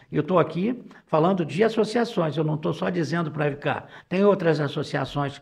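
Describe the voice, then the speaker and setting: Speaking at a moderate pace, a man has a fairly high pitch. His intonation is lively, with vocal fry. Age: 70s. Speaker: business executive. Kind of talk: casual interview talk. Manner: halting, repeats words.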